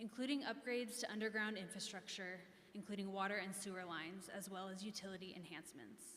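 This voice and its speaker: A woman with an American accent at a very fast pace, fairly even in intonation, amid audible room echo and noticeable background noise. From Kansas. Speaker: business district representative. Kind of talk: public meeting presentation. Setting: echoey meeting room. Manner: formal.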